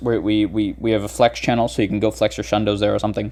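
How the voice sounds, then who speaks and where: A man rattles along very fast while the background stays quiet. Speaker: gaming YouTuber. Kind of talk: tutorial. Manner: casual, many fillers and restarts.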